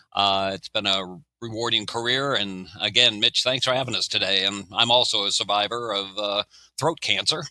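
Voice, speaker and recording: A bright, sharp tone marks this voice, whose pitch varies in an ordinary way. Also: man, fairly low pitch for a man, moderate pace. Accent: American. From Maryland. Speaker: retired senior living executive, cancer survivor. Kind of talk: podcast interview. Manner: halting, many fillers.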